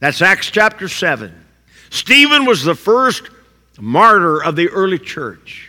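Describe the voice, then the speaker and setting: A raised, projected voice with an American accent, bright and sharp in tone, fairly slow, with very wide pitch swings. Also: man, high pitch for a man. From southern Indiana, US. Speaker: pastor. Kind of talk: sermon.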